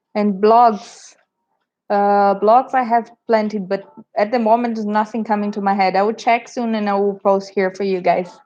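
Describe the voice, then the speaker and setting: A woman's medium-pitched, dark, mellow voice at a moderate pace, in a monotone, flat intonation. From Brazil. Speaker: travel vlogger. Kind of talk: casual chat. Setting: livestream.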